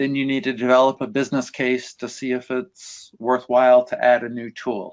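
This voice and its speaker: A man talks in an ordinary speaking voice at medium pitch and a moderate pace, with fairly even intonation and hardly any pauses. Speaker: industry analyst. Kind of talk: webinar Q&A answer.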